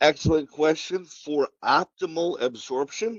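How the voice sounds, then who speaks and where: A man with a Wisconsin accent speaks with ordinary pitch variation. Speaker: pharmaceutical sales representative. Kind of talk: webinar presentation and Q&A. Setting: online webinar.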